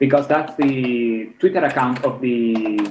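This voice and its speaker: A man's medium-pitched voice with a strong non-native accent at a very slow pace, amid noticeable background noise and audible room echo. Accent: strong foreign. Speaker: game map maker. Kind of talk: casual panel discussion.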